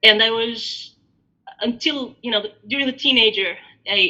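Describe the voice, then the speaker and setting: A woman speaks with an Albanian accent. Her intonation stays fairly even. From Greece, born in Albania. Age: 40s. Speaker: diaspora interviewee. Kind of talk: interview. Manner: hesitant, many fillers.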